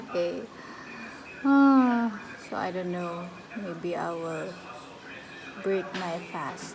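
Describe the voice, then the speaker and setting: A woman's fairly low voice at a very slow pace, lively in intonation, with long, frequent pauses, audible room echo, and noticeable background noise. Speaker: vlogger. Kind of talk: casual vlog talk.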